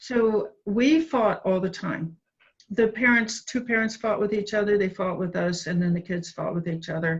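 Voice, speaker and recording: A woman with an American accent speaks at a medium pitch and a moderate pace, her voice somewhat breathy and her pitch varying in an ordinary way. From US Midwest, Cincinnati, Ohio. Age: 60s. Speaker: addiction researcher and author. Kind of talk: interview.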